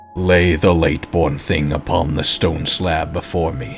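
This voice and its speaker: A man growls in a put-on character voice, his pitch very deep and low. Clear background noise runs behind him. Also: moderate pace. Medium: read story. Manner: stern, commanding.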